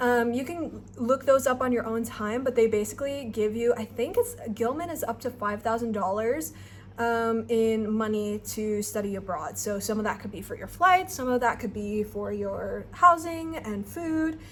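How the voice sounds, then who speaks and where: A woman talks in a plain, everyday voice at a moderate pace with hardly any pauses. Her pitch is fairly high and her intonation lively. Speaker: student researcher and vlogger. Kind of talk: tutorial. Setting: abroad in Nepal. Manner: casual with many fillers.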